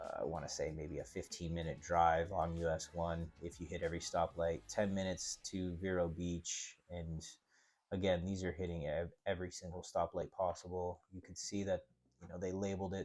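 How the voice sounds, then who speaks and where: In a very clean recording with a silent background, a man speaks at a moderate pace in a very deep, low, monotone voice with flat intonation. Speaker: real estate agent. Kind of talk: casual screen-share walkthrough. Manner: casual, with many fillers; stumbling briefly.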